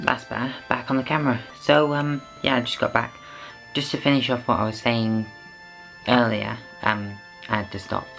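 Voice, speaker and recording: A woman with a British accent and a very deep, low pitch, ordinary pitch variation, a moderate pace and long, frequent pauses, with music in the background. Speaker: vlogger. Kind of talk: casual talk to camera.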